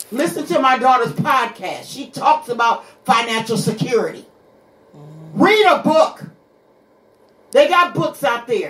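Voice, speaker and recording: Speaking at a fairly slow pace with long, frequent pauses, a woman sounds animated, her high voice swinging very widely in pitch. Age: 60s. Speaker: radio show guest, host's mother. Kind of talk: casual chat.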